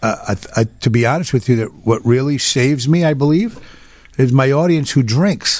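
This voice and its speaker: A man's medium-pitched voice, in an American accent, shows ordinary pitch variation. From Chicago area (Cicero, Illinois), Italian-born. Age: 50s. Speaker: nightclub singer. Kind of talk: casual chat. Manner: halting.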